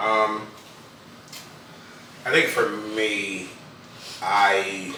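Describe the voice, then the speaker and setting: Audible room echo along with noticeable background noise. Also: man. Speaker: husband playing a couples card game. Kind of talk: casual chat. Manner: loud.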